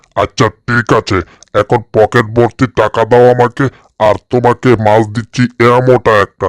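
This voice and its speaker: Man in a put-on character voice, monotone and flat in intonation, at a fairly slow pace. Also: medium pitch for a man. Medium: fan dub. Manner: fast, wheedling, cunning.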